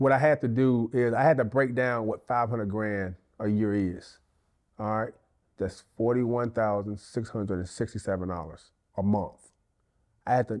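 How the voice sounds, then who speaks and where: The voice moves at a moderate pace with ordinary pitch variation over a quiet background. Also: man. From US South, northern Mississippi. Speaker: real estate agent, former college athlete. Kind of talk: interview. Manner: loud.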